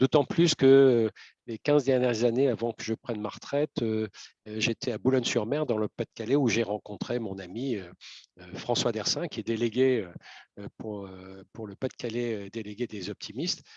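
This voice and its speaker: In a dry, close recording with no echo, a man talks at a moderate pace and medium pitch, with ordinary pitch variation and big swings in loudness. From northern France, Lille area. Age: 60s. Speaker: volunteer delegate, retired communications professional. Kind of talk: interview. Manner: hesitant, many fillers.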